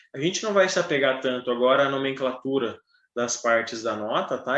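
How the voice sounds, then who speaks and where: A man speaks at a fairly quick pace in a plain, everyday voice, with medium pitch and ordinary pitch variation. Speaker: trumpet teacher. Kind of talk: online music lesson. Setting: online video class.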